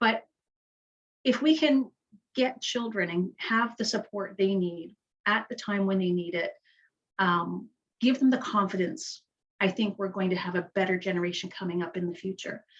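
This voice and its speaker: A somewhat breathy woman at a medium pitch and moderate pace, with ordinary pitch variation and long, frequent pauses. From Canada, Kingston, Ontario. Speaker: nonprofit leader. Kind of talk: community panel talk. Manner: halting, self-correcting.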